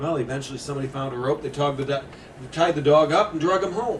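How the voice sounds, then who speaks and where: Talking at a fairly quick pace with an American accent, a man has a fairly high pitch and ordinary pitch variation. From Indiana, USA. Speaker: ghost story author. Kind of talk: ghost story told to a live audience.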